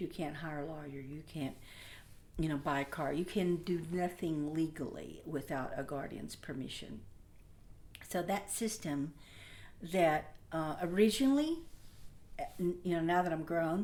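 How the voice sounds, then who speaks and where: A woman's fairly low voice in an American accent, at a moderate pace, with ordinary pitch variation. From Oklahoma, US. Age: 60s. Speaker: community advisory committee member. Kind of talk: personal testimony. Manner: halting, many fillers.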